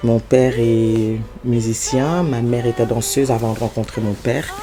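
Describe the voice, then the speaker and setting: A man talks with a medium pitch and fairly even intonation. Noticeable background noise sits behind him. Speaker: singer. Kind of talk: interview monologue. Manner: halting, many hesitations.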